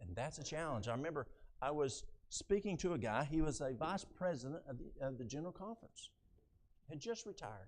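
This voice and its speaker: Fairly high-pitched male speech at a fairly quick pace, with very wide pitch swings. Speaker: health ministry speaker. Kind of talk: sermon. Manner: fast.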